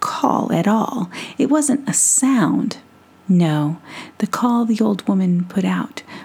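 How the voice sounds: Lively intonation in a natural reading voice.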